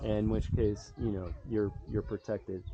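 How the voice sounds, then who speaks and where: A man talks fairly slowly while noticeable background noise runs underneath. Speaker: water engineer giving site review. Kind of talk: on-site technical walkthrough.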